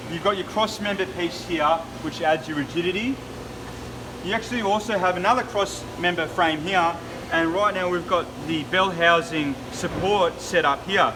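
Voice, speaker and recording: A high-pitched man with an Australian accent at a moderate pace, over noticeable background noise. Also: ordinary pitch variation. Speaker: business owner. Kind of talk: product walkthrough. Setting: factory floor. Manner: loud.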